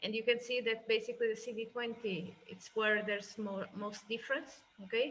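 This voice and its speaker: Woman's fairly high voice with fairly even intonation. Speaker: software product specialist. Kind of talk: tutorial. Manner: fast.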